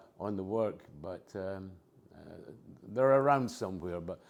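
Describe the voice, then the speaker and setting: A man speaks with a non-native accent. His tone is dark and mellow, with ordinary pitch variation. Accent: has a lifelong foreign. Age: 80s+. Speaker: retiree and abstract artist. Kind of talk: oral history interview. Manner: hesitant, with many fillers.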